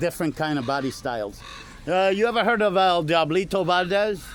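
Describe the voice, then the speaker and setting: This man talks at a fairly quick pace with lively intonation. His pitch is high. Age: 60s. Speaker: first amendment auditor. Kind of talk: confrontational conversation with police. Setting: police station lobby. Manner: halting, repetitive.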